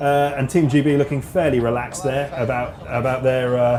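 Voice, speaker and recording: A man with a fairly high pitch and fairly even intonation keeps a moderate pace while noticeable background noise carries on. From southern England. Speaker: motorsport commentator. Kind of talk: live commentary.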